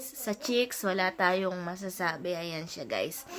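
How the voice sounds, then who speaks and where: A very slow-paced woman's voice at medium pitch. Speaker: vlogger. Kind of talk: casual vlog talk. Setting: home office.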